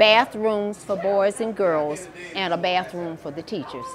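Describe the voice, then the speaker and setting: Speaking very slowly at a medium pitch, a woman uses lively intonation over noticeable background noise. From US South, central Florida. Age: 80s+. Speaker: retired teacher. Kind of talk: oral history interview.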